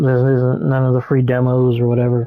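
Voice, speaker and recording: A man speaks at a medium pitch with a dark, mellow tone, the sound dry and close with no echo. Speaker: gamer vlogger. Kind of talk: casual monologue while gaming. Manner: halting, distracted.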